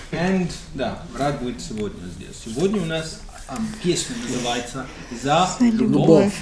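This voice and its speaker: A man talks at a very slow pace and fairly high pitch, with very wide pitch swings and big swings in loudness. Audible room echo and noticeable background noise surround him. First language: English (speaking Russian). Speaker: music reaction video host. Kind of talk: casual chat. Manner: halting.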